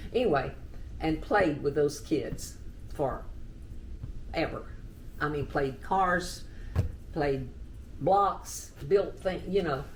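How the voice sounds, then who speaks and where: A woman with a Texan accent talks at a very slow pace, leaving long, frequent pauses, and the room echo is audible. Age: 80s+. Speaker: oral history interviewee. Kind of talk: oral history interview.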